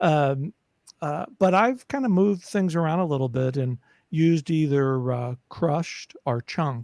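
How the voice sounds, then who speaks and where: The man's somewhat breathy voice sits fairly high, with ordinary pitch variation and a dry, close sound with no echo. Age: 60s. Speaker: caregiving advocate and podcaster. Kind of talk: casual interview chat. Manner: halting, many fillers and repetitions.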